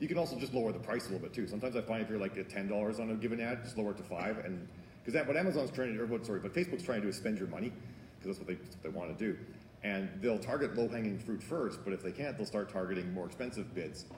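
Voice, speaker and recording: A man talks at a very fast pace with lively intonation and a fairly low pitch. There is audible echo in the room. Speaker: author and marketing speaker. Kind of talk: conference talk Q&A.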